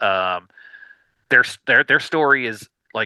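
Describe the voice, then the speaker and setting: A man speaks at medium pitch and a moderate pace, his tone bright and sharp. The recording is very clean with a silent background and a dry, close sound with no echo. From US South. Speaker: indie record label founder. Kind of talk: podcast interview. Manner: hesitant, many fillers.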